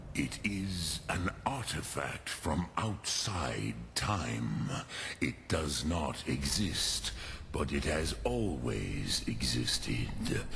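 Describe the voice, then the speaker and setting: Very slow delivery from a man in a put-on character voice, clear background noise behind him. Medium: video game. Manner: solemn, measured.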